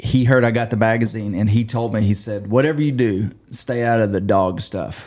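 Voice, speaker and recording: Here a man talks with an Ozark accent at medium pitch. His intonation is fairly even and his pace moderate, with hardly any pauses. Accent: US Southern (Ozark). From western Arkansas. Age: 40s. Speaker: hunting podcast host. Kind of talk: casual interview.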